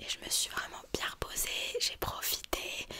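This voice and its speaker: A soft-spoken woman whispers at a very slow pace. Light background noise sits behind her. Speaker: video creator. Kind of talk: casual vlog chat. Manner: close, soft ASMR whisper. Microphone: studio mic.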